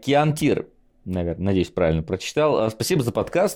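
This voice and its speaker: A man talks in a fairly low pitch. His voice makes very wide pitch swings. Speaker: streamer and podcast co-host. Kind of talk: casual chat.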